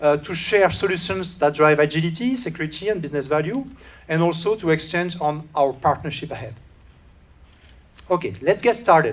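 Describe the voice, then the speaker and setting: A man speaks with a French accent at a fairly quick pace. His pitch is fairly high, and his intonation is lively. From France. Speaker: solutions engineer. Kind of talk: conference keynote. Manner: hesitant with many filler sounds.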